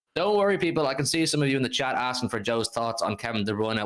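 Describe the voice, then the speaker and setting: A man is talking. He goes at a very fast pace. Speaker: football fan livestream host. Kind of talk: live stream football review. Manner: animated.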